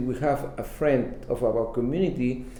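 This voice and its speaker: A man with a Spanish accent talks at a fairly slow pace and medium pitch. Audible room echo surrounds his voice. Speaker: bilingual community TV interviewer. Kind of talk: interview. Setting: studio.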